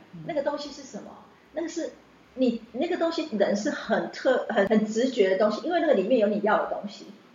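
A woman talks at a fairly quick pace in a high pitch with lively intonation and big swings in loudness. Audible room echo and noticeable background noise are present. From Taiwan. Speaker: chef and former teacher. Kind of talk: interview. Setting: on location recording. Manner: talkative.

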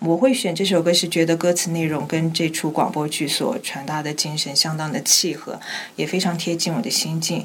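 Over noticeable background noise, a woman talks at a moderate pace with a fairly low pitch and ordinary pitch variation. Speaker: radio drama actress, former trainee. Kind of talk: interview about her role. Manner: steady voice despite nerves.

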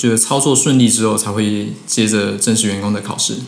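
A man of medium pitch speaks at a moderate pace with fairly even intonation, amid noticeable background noise and audible room echo. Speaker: former coffee shop part-timer, student in Japan. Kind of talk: casual interview. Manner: halting with fillers.

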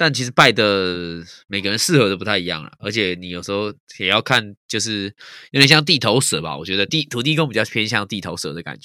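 A man speaks with a fairly low pitch and a bright, sharp tone. His intonation is lively with big swings in loudness, in a very clean recording with a silent background. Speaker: podcast co-host. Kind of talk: casual chat.

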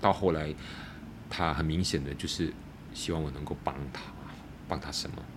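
The words come at a fairly quick pace in a monotone, flat intonation. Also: man. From Malaysia, Malacca. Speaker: former drug user planning a rehab centre. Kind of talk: personal testimony in interview. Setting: in person, face to face. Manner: halting with repeated words.

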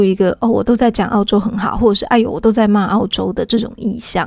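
In a very clean recording with a silent background, a woman with a Taiwanese accent speaks at a fairly high pitch with fairly even intonation. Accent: Taiwanese Mandarin. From Taiwan, Taipei. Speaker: podcast host and author. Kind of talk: casual solo podcast talk. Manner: relaxed, lazy drawl.

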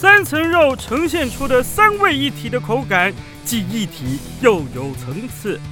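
A man puts on a character voice at an extremely high pitch, with a bright, sharp tone, lively intonation and a fairly slow pace while faint music plays in the background.

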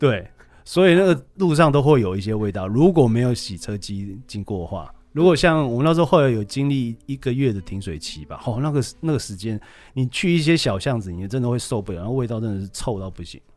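On a very clean recording with a silent background, a man speaks at a fairly quick pace with a medium pitch. His pitch swings very widely and his loudness shifts a lot. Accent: Taiwanese. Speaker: radio DJ and college radio instructor. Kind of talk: casual interview.

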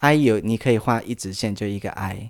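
With lively intonation, a man speaks at a fairly low pitch. The recording is very clean, and the background is silent. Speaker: podcast host. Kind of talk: casual chat. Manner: halting, repeats words.

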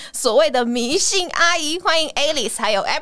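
A woman with lively intonation. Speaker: podcast host. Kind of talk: casual chat.

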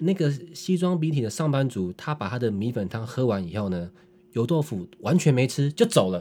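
On a very clean recording with a silent background, a man speaks at a moderate pace in a dark, mellow tone with very wide pitch swings. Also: medium pitch for a man. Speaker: podcast co-host. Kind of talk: casual chat.

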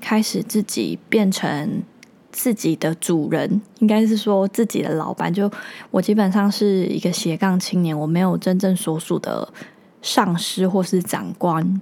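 A woman with a dark, mellow tone talks at a fairly slow pace, her pitch varying in an ordinary way. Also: medium pitch for a woman. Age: 20s. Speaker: podcast host. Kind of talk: solo monologue.

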